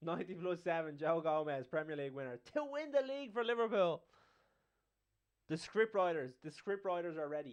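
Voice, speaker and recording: A man with a strong Dublin accent talks at a fairly quick pace and a high pitch, his tone animated and his intonation lively. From Ireland, Dublin. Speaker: football watchalong streamer. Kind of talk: live match commentary and chat.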